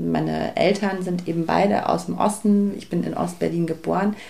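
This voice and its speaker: Noticeable background noise is heard as this woman speaks at a moderate pace. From Germany, East Berlin. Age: 30s. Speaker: film producer. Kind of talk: interview.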